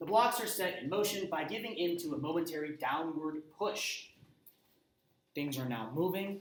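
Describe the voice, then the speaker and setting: A man talks at a moderate pace in a high voice with lively intonation. Room echo is audible. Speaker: high school physics teacher. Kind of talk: lecture.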